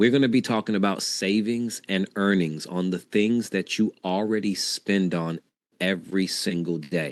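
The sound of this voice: A raspy man with a low pitch talks at a moderate pace, his intonation fairly even.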